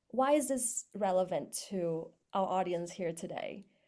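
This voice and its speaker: A woman's dark, mellow voice with lively intonation at a fairly slow pace, on a very clean recording with a silent background. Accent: non-native. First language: not English. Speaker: startup co-founder. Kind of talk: panel talk. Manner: many filler words (um, uh).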